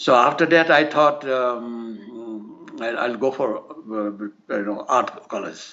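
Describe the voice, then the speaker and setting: A man talks at a very slow pace. His pitch moves with ordinary variation. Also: medium pitch for a man. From India, Assam (Nagaon district). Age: 80s+. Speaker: artist and army veteran. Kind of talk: interview. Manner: halting, many fillers.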